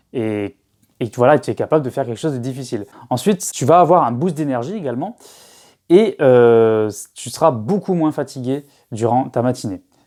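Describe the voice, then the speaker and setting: On a very clean recording with a silent background, a man of medium pitch speaks at a fairly quick pace with a dark, mellow tone and lively intonation. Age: 20s. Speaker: self-help youtuber. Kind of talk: casual vlog advice. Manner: hesitant, many fillers and repetitions.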